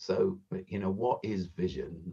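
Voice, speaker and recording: Here a man is speaking. He has a southern English accent. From South London (Croydon). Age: 60s. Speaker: charity founder. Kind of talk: podcast interview. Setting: video call.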